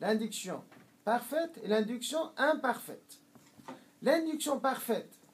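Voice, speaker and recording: Very slow pace, long and frequent pauses, ordinary pitch variation. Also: man, extremely high pitch for a man. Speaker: Islamic teacher. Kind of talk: lecture. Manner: halting, many hesitations.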